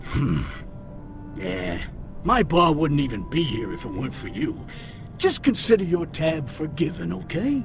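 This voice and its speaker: A man's put-on character voice, fairly high in pitch, with long, frequent pauses over loud background music. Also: moderate pace. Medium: video game. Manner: hesitant.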